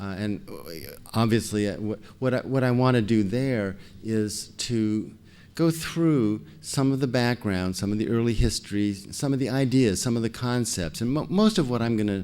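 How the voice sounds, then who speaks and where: Over music in the background and audible room echo, a man talks at a medium pitch and moderate pace with ordinary pitch variation. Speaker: scientist, foundation president. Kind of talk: lecture. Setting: stage with audience. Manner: soft-spoken; halting.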